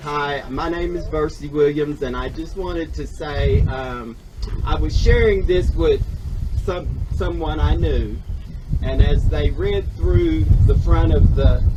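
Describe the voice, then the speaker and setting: A man at a fairly slow pace, with noticeable background noise and audible room echo. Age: 60s. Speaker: former student speaking at memorial. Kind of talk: public testimony.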